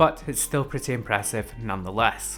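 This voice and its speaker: Music plays in the background. A man with a Scottish accent speaks with ordinary pitch variation. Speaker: tech reviewer. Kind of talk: product review.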